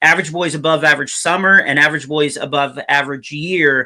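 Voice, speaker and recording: The man's voice has a bright, sharp tone and a fairly high pitch. He speaks at a moderate pace with fairly even intonation. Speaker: children's author and comedian. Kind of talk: podcast interview. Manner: casual, filler-heavy.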